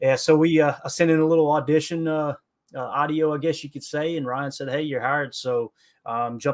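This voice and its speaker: A man with an Appalachian accent, fairly high-pitched, fairly quick, fairly even intonation, quiet background. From Kentucky, Appalachia. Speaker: football podcaster. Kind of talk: casual podcast interview. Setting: remote call.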